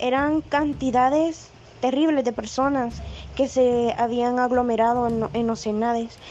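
This woman's voice sits high in pitch, with fairly even intonation. She talks at a fairly slow pace. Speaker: poet. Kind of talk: casual chat.

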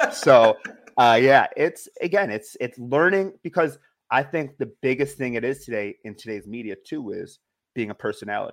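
A man with a plain, everyday voice talks at a medium pitch and moderate pace, with lively intonation and big swings in loudness. The recording is very clean, with a silent background. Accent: American. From New York State, outside upstate. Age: 30s. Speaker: satellite radio producer. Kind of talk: casual interview.

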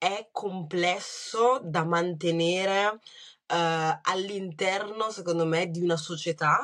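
A woman's fairly low, fairly even voice in a Lombard accent, very slow with hardly any pauses, against a quiet background. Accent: Brescian. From Brescia, northern Italy. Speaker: writer. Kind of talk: interview.

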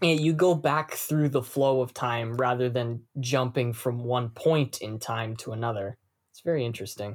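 With a plain, everyday voice at medium pitch, a man speaks at a moderate pace, his pitch varying in an ordinary way and his loudness swinging widely. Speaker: podcast host. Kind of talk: casual chat.

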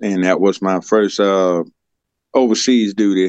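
A man with a Southern US accent, fairly low pitch, fairly even intonation and a very slow pace, in a dry, close sound with no echo. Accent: Southern US (Georgia). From US South, Georgia. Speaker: fleet manager, army veteran mechanic. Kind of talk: casual interview.

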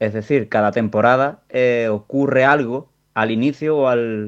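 A man talks at a medium pitch with ordinary pitch variation. It is an ordinary speaking voice. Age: 30s. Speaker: listener sending audio message. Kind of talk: voice message.

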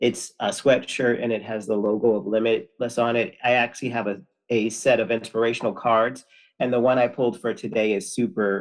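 A man with an American accent speaks in an ordinary speaking voice at a medium pitch. His pace is moderate and his intonation fairly even. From Connecticut, US. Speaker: person in addiction recovery. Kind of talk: casual interview.

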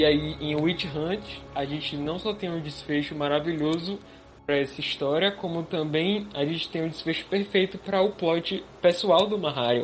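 A high-pitched man talks at a moderate pace with ordinary pitch variation. Noticeable background noise is present. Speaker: illustrator and podcast co-host. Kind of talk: casual chat.

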